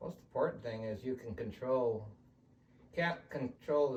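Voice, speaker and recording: Somewhat breathy, a man speaks at a moderate pace with an American accent. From California. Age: 60s. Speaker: team roper and businessman. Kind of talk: interview testimony.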